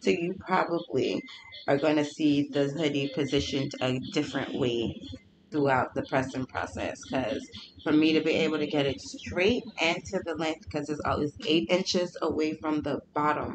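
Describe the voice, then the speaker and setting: The speaker keeps a moderate pace. Noticeable background noise runs underneath. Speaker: small business owner and crafter. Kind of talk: tutorial. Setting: home studio.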